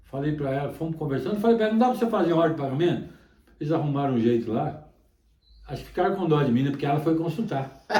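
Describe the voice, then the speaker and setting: Music plays behind a man who speaks very fast in a fairly high pitch with lively intonation, in a room with audible echo. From Minas Gerais, Brazil. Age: 70s. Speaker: songbird breeder. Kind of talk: interview. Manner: halting, repetitive.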